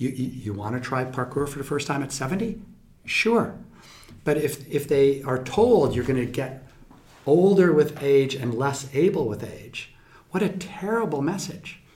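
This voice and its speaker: In a room with audible echo, a man with a fairly high pitch and a somewhat breathy voice speaks at a fairly slow pace, his intonation lively. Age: 50s. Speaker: scientist. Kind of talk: interview.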